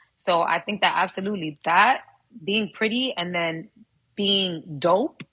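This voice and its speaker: Her tone is bright and sharp. The woman talks at a fairly slow pace. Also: medium pitch for a woman, ordinary pitch variation. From New York, Harlem. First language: Spanish. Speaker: actress and model. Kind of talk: podcast interview.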